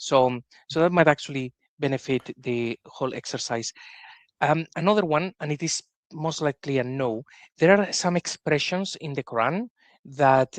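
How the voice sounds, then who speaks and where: Recorded dry and close with no echo against a quiet background, a man with a Spanish accent talks at a moderate pace and fairly high pitch, with ordinary pitch variation. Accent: Spanish accent, often heard as Italian. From Spain. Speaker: podcast host. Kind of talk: interview discussion.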